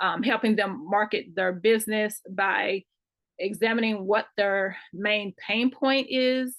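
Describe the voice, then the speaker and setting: Speaking very slowly with a Kentucky accent, a woman holds a very even loudness and fairly even intonation at a fairly high pitch. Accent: country Kentucky. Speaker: marketing consultant. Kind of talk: online class lecture.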